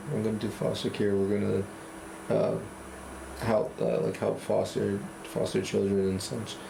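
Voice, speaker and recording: There are long, frequent pauses as a man speaks in an American accent. Noticeable background noise can be heard. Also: moderate pace. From Cambridge, Massachusetts. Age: 20s. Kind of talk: interview answer.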